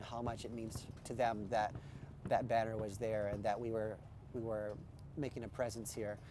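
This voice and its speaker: A man with an American accent has a plain, everyday voice at a medium pitch. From Nebraska, US. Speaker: activist at protest camp. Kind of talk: documentary interview.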